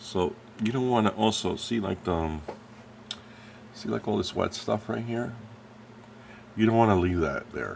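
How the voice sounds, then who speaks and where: Amid noticeable background noise, a man with a fairly low pitch and ordinary pitch variation speaks with long, frequent pauses. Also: moderate pace. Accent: American. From New Jersey, US. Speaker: scale model painter and YouTuber. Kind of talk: tutorial. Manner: casual, halting with many fillers.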